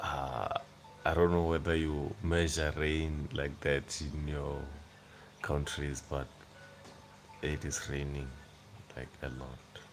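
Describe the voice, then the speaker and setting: A man with a South African accent speaks at a very slow pace with long, frequent pauses, a very deep, low pitch and fairly even intonation, with music in the background and audible room echo. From South Africa, Limpopo (Venda). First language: Venda. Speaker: YouTuber. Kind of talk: casual livestream chat. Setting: at home on a couch at night.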